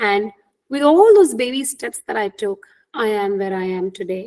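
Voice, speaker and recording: In an Indian accent, a woman speaks at a moderate pace with lively intonation. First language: Hindi. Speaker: career coach. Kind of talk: webinar talk.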